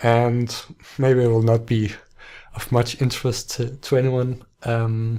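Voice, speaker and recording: In a very clean recording with a silent background, a man speaks at a medium pitch in a dark, mellow tone with a non-native accent. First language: not English. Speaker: book podcaster. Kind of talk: casual book talk monologue. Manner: halting, many restarts and fillers.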